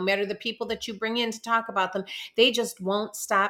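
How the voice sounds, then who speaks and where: Loud and very fast, a woman speaks with a fairly high pitch and a bright, sharp tone. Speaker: podcast co-host. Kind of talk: casual chat.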